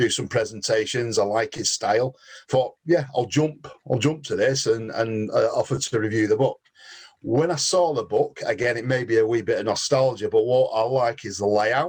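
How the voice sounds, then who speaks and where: A man speaks with a Manchester accent at a moderate pace. His voice is somewhat breathy, with ordinary pitch variation. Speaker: book reviewer, customer experience professional. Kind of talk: casual discussion, video call book club.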